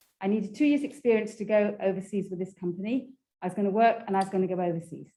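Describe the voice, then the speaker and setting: Speaking very fast with an English accent, a woman uses a medium pitch and ordinary pitch variation. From England. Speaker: graduate student presenter. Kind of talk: informal presentation. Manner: conversational, with fillers.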